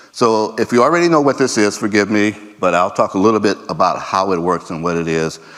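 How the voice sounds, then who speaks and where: The man's pitch is fairly low and his intonation lively. He talks at a fairly quick pace. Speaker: conference speaker, laser scanning specialist. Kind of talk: conference presentation. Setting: stage with audience. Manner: fast.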